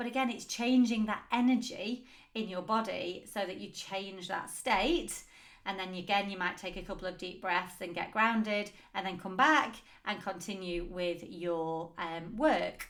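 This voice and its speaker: A speaker talks at a fairly slow pace with ordinary pitch variation, and audible room echo surrounds the voice. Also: woman, medium pitch for a woman. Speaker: business coach and podcast host. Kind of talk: solo podcast talk.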